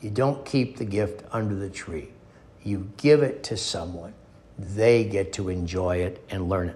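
A man with an Upper Midwest accent talks at a fairly slow pace in a fairly low, dark, mellow, somewhat breathy voice. His pitch varies in an ordinary way, and the room echo is audible. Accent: Upper Midwest American. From US Midwest, North Dakota. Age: 70s. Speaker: podcast host, motivational speaker. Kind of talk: motivational monologue.

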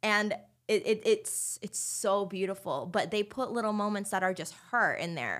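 In a very clean recording with a silent background, a woman with a Californian accent speaks at a medium pitch and a moderate pace. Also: ordinary pitch variation. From Southern California, Anaheim. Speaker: circus performer. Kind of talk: casual chat. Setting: studio.

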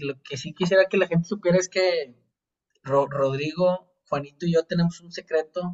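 Heard at a fairly slow pace, a normal speaking voice moves with ordinary pitch variation. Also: man. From Monterrey, Mexico. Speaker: podcast guest. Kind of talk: casual chat.

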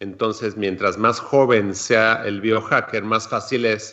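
At a fairly slow pace, a man talks at a medium pitch in a plain, everyday voice. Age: 40s. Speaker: food chemist and epigenetic coach. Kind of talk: casual chat. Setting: studio.

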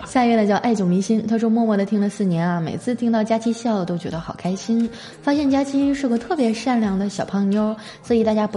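Noticeable noise hums in the background. The talking is fairly quick, and the pitch varies in an ordinary way. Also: woman. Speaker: podcast host. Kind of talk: casual comedic monologue; reading listener messages. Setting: hotel room. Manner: animated. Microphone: echoey room.

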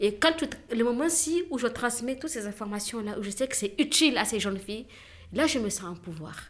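Over noticeable background noise, a woman talks fairly quickly at a fairly high pitch with lively intonation. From Niger. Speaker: entrepreneur making reusable sanitary pads. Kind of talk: conversation. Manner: halting.

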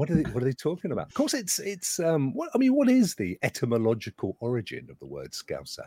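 A man with a British accent, animated in tone, at a very fast pace with hardly any pauses and big swings in loudness, in a dry, close sound with no echo. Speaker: podcast host. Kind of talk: casual chat. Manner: jokey, animated.

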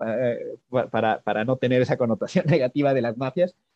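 The voice belongs to a man and has a dark, mellow tone. It sits at a medium pitch. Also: dry, close sound with no echo. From Mexico. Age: 40s. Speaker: blockchain business developer and economist. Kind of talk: interview.

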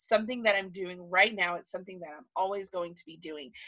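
A woman talks with a Southern US accent. Her tone is bright, sharp and animated. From Alabama, US South. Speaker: podcaster, planner content creator, former teacher. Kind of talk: casual solo podcast monologue. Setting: home office.

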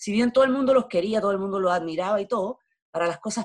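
Here a woman talks in a Chilean accent. She goes very fast, with ordinary pitch variation. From Chile, Valparaíso. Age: 50s. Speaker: theatre actress. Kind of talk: interview conversation.

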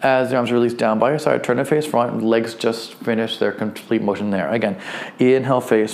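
Noticeable background noise is present. A man at medium pitch talks at a fairly quick pace. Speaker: fitness instructor. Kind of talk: guided movement class, step-by-step exercise instruction. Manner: friendly and encouraging, lightly humorous.

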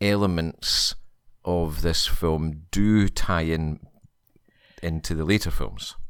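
In a Scottish accent, a man with very deep, low pitch and ordinary pitch variation speaks very slowly with long, frequent pauses, on a very clean recording with a silent background. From Scotland. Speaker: podcast guest. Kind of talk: casual chat.

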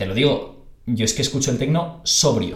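Somewhat breathy and fairly high in pitch, a man speaks at a moderate pace with audible room echo. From Spain, Barcelona. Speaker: podcast host. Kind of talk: casual interview chat. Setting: video call.

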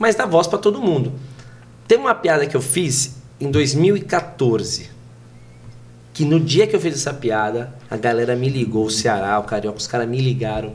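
Somewhat breathy and medium in pitch, a man speaks at a moderate pace with very wide pitch swings and long, frequent pauses. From Brazil, São Paulo state (Pirituba, then Pinhalzinho). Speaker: comedian. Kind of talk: casual chat.

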